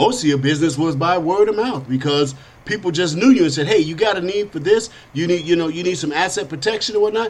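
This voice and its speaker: A man with a high pitch speaks at a very fast pace with lively intonation. Noticeable background noise runs behind him. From Chicago, south side. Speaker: podcast host. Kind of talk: political talk show monologue. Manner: animated.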